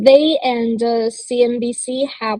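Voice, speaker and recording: With a Chinese accent, the voice has a dark, mellow tone and fairly even intonation. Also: woman, dry, close sound with no echo. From China. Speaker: crypto media co-founder. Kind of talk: panel discussion. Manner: halting, many fillers.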